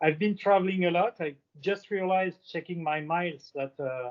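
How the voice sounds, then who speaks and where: A man with a French accent, at a fairly quick pace, with ordinary pitch variation. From France. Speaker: aviation industry panelist. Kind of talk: panel discussion.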